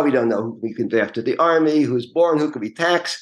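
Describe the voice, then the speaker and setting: A man with a New York accent talks at a fairly quick pace. His fairly high voice shows ordinary pitch variation. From New York City (Queens). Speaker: real estate lawyer. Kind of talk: interview.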